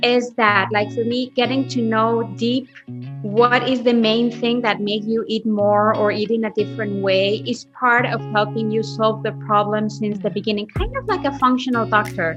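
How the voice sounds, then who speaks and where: The speaker's intonation is lively, with music in the background. The pace is moderate. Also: woman. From Mexico City. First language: Spanish. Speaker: holistic health coach. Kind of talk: podcast interview answer.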